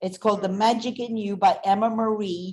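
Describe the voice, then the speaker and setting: Here a woman speaks at a medium pitch. She keeps a moderate pace. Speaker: energy company executive. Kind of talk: interview. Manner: animated.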